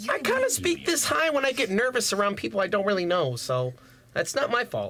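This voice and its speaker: The clip features a put-on character voice moving fairly quickly. Its pitch is fairly high. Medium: actual play. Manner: nervous, halting.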